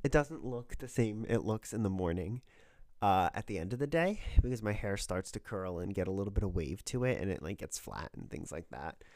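In a very clean recording with a silent background, a man with a fairly low pitch speaks at a fairly quick pace in an animated tone with lively intonation. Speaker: podcast host. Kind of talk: casual chat. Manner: animated, joking.

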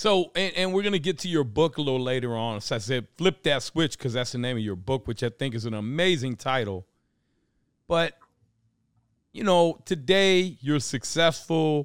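A man speaks at a moderate pace with a fairly high pitch, an animated tone and lively intonation. The recording is very clean with a silent background and a dry, close sound with no echo. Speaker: podcast host and real estate investor. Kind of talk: casual chat. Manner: loud.

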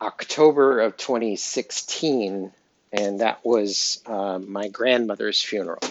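A man with an American accent speaks very slowly at medium pitch. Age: 50s. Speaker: podcast host. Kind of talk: casual personal journal monologue. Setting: home kitchen. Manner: relaxed with frequent fillers.

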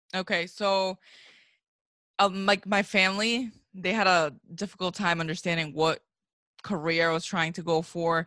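A woman's mid-range voice comes through with a bright, sharp edge. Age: 20s. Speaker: recent college graduate. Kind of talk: casual chat.

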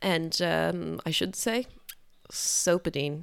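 A woman's voice in an Irish accent, with very wide pitch swings. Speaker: podcast co-host, restaurant worker. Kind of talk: casual chat.

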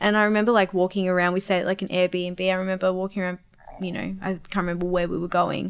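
In an Australian accent, the speaker goes at a very fast pace in a monotone, flat intonation. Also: woman, medium pitch for a woman. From Australia, Melbourne. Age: 20s. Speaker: college director. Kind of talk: casual chat.

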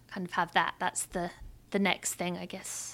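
Recorded very cleanly with a silent background, a woman speaks at medium pitch in a bright, sharp tone. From England, outside London. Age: 30s. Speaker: musician and activist. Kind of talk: casual interview chat.

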